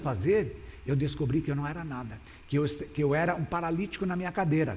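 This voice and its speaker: Somewhat breathy and dark, mellow in tone, a man talks at a fairly quick pace with a fairly high pitch and ordinary pitch variation, amid audible room echo. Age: 60s. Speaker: pastor. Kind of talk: sermon. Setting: church. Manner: halting.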